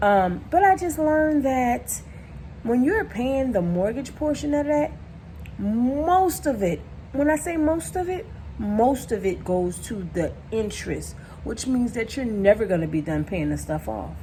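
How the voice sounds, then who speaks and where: Her pitch swings very widely. The woman's voice sits fairly high. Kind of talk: casual talk to camera.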